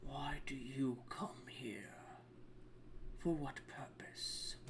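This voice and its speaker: A man whispering in a put-on character voice at a very slow pace, amid loud background noise. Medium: actual play. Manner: solemn, slow, oracular.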